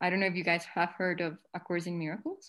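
A woman speaks with a Spanish accent against a quiet background. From Colombia. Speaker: spiritual devotee, lawyer. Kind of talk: casual chat. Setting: video call. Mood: warm, reflective. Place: home room. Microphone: video call.

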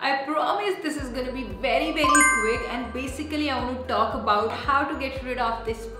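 A woman at a moderate pace with loud background music and audible room echo. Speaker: beauty vlogger. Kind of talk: tutorial. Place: bathroom.

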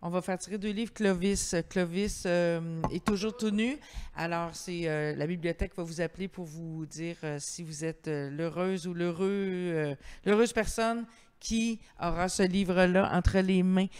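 Ordinary pitch variation at a fairly slow pace. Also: woman, fairly low pitch for a woman. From Quebec. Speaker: event host and interviewer; event host, interviewer. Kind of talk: public author interview. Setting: library terrace, livestreamed event. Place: hall. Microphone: handheld.

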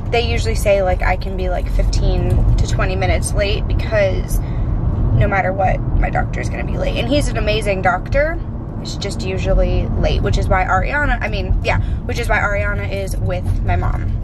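Loud background noise surrounds a woman whose voice comes through in a dry sound with no echo. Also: moderate pace. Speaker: family vlogger. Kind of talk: casual vlog chat. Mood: cheerful, chatty. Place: car. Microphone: phone near.

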